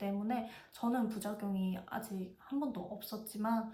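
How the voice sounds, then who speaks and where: With audible room echo, a woman speaks fairly slowly at a fairly high pitch and with fairly even intonation. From South Korea, Busan (Gyeongsang). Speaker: vlogger. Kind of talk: casual review monologue.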